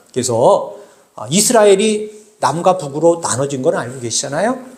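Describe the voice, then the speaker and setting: A man at a moderate pace with very wide pitch swings, plus audible room echo. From South Korea, Bucheon (Gyeonggi). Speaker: pastor. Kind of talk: sermon. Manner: halting, many filler sounds; conversational, addressing congregation.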